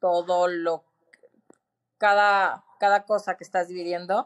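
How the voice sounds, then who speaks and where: Spoken at a fairly slow pace in a monotone, flat delivery, the recording sounds dry and close with no echo. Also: woman. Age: 40s. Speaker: fitness studio founder. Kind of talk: interview.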